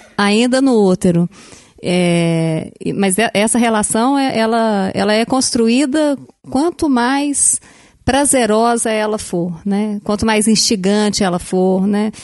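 Her pitch sits fairly high for a woman, with ordinary pitch variation, in an unremarkable speaking voice. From Brazil, Belo Horizonte. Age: 40s. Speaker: educator. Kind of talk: casual chat.

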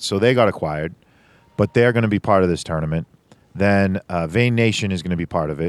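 A very deep, low-pitched man's voice with an American accent, fairly quick pace and ordinary pitch variation, in a dry, close sound with no echo. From Boston, Massachusetts. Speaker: gaming podcast host. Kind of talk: casual chat.

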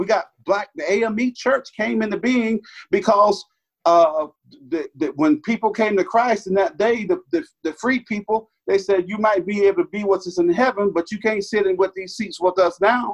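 A man with a Southern US accent, high pitch and ordinary pitch variation at a moderate pace, in a dry, close sound with no echo. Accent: Southern US (Georgia). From US South, southwest Georgia / north Florida line. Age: 50s. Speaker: pastor. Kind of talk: casual chat.

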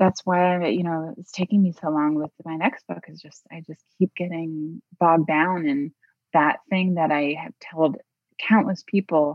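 A woman with an American accent speaks at a moderate pace and a fairly low pitch. Her pitch varies in an ordinary way, while her loudness swings widely. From US Midwest. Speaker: memoir author. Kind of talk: interview. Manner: halting, with frequent repetitions.

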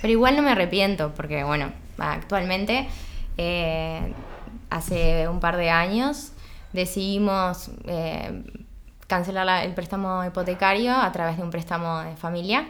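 Audible room echo carries a woman's medium-pitched voice as she speaks at a fairly slow pace with ordinary pitch variation. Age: 30s. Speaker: chemical engineer and entrepreneur. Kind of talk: casual interview chat. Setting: at her home. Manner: halting, many repetitions.

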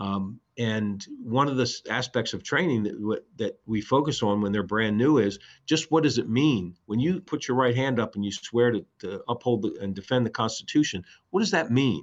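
This man speaks with an American accent at a moderate pace, his medium-pitched voice carrying lively intonation. The background is quiet. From Baltimore, Maryland. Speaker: police chief. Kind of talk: interview. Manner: halting, many fillers and repetitions.

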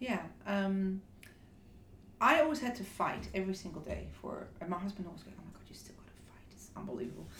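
Lively intonation stands out over noticeable background noise. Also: woman, medium pitch for a woman, fairly quick pace, big swings in loudness. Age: 50s. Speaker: hairdresser and beauty executive. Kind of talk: interview. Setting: office.

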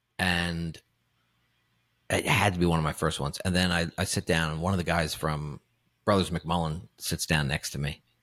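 Recorded very cleanly against a silent background, a man talks with a New York accent and a very deep, low pitch. He keeps a moderate pace with long, frequent pauses. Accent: New York (Queens). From Woodside, Queens, New York City. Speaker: actor and comedian. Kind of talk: casual interview chat. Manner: animated storytelling with many fillers.

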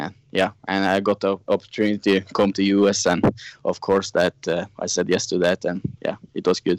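A man with a Norwegian accent and a fairly low pitch speaks at a moderate pace in a monotone, flat intonation, with a dry, close sound with no echo on a very clean recording with a silent background. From Norway. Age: 20s. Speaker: snowmobile racer. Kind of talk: interview. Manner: halting.

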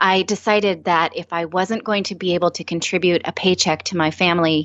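A woman speaks at a moderate pace and medium pitch. She has a plain, everyday voice with ordinary pitch variation. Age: 30s. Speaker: former network news anchor, personal finance speaker. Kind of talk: interview.

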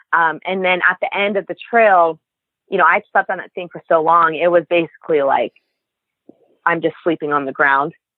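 A woman's fairly low voice at a moderate pace, an ordinary speaking voice with fairly even intonation. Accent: American. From Nevada, US. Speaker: long-distance hiker. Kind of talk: interview.

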